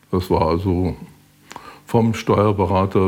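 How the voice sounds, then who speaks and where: This man's voice is very deep and low. He speaks fairly slowly with monotone, flat intonation. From Westphalia (eastern). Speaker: former regular guest of the restaurant. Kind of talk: interview.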